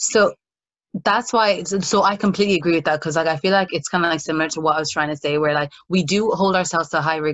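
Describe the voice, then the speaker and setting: A woman speaks with an American accent at a very deep, low pitch. Her pitch variation is ordinary. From Ireland. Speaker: podcast co-host. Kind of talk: casual chat.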